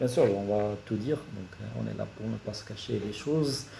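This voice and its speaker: A man speaks fairly slowly at a fairly low pitch. Audible room echo surrounds his voice. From Morocco, Casablanca. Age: 30s. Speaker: engineer and YouTuber. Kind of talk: career talk to camera. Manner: hesitant, many fillers.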